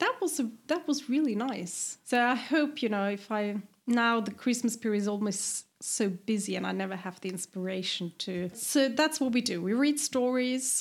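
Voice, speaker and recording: A speaker with a German accent talks with hardly any pauses. The recording is very clean, with a silent background. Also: woman, fairly high pitch for a woman, lively intonation, moderate pace. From eastern Austria, near Vienna. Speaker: podcast guest, expat. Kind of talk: casual chat.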